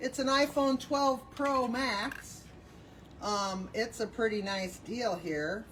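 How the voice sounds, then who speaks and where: Loud and very slow, a woman speaks. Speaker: bin store staff running a live sale. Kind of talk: livestream announcing raffle ticket winners.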